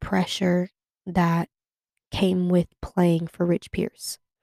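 Speaking at a fairly slow pace with an American accent, a woman has a medium pitch and a dark, mellow tone in a dry, close sound with no echo. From California (Sacramento). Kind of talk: personal monologue. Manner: hesitant, many fillers.

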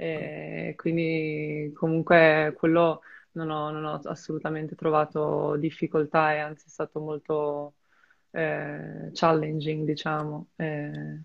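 A woman with a very deep, low pitch speaks very slowly in a flat monotone. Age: 20s. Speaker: former student athlete, volleyball player. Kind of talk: interview. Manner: halting.

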